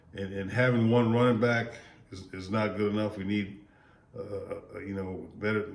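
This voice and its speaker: A man's fairly low voice at a moderate pace, with audible room echo and noticeable background noise. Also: big swings in loudness. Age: 60s. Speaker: sports vlogger. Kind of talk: casual commentary monologue. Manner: repetitive, stammering restarts; animated.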